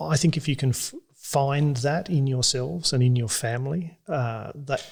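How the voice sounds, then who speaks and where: A somewhat breathy man with an Australian accent talks at a moderate pace with ordinary pitch variation. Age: 40s. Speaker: regenerative farmer. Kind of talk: podcast interview answer. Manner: gentle-spoken, modest.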